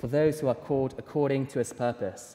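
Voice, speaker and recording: A man speaks at a fairly quick pace in a somewhat breathy voice, his dark, mellow tone set at a fairly high pitch. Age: 20s. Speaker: preacher. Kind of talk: sermon.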